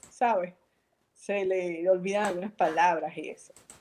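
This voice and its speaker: A woman with a Venezuelan accent speaks at a fairly slow pace. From Venezuela, Valencia (Carabobo). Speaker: artist and entrepreneur. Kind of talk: casual interview.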